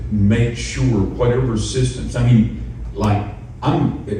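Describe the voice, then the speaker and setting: With audible room echo and noticeable background noise, a man talks at a very slow pace with a fairly low pitch. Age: 60s. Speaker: retired pastor. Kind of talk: panel discussion.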